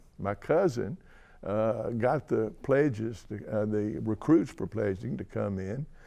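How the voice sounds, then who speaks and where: A man speaks at a fairly slow pace with a Tennessee accent. His pitch swings very widely over a quiet background. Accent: Southern US (Tennessee). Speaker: person who stutters. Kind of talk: interview testimony. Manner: stutter.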